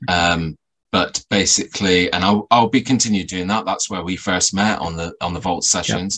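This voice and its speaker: This man has a very deep, low pitch and speaks at a moderate pace with fairly even intonation. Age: 40s. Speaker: paranormal researcher and podcaster. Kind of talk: casual interview chat.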